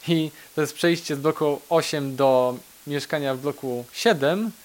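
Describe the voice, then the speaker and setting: A man speaks at a fairly high pitch in a normal speaking voice. His pitch varies in an ordinary way. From Poland, Kraków (Nowa Huta). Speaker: IT specialist. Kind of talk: interview.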